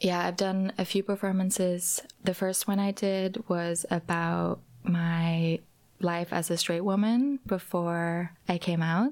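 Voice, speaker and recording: Soft-spoken and fairly low in pitch, a woman talks at a very slow pace with fairly even intonation. Her loudness stays very even. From Norway. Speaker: drag and stage performer. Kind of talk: interview. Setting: studio.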